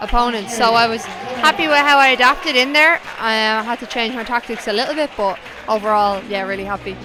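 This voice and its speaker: A woman's fairly high voice in an Irish accent, at a fairly quick pace with ordinary pitch variation, crowd noise behind her and audible room echo. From Ireland. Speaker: professional boxer. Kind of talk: post-fight interview.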